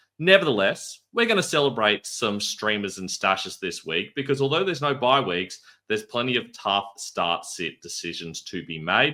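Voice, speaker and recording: A man talks at a medium pitch and moderate pace, with hardly any pauses. His bright, sharp tone swings very widely in pitch. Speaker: fantasy football analyst. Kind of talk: scripted analysis video.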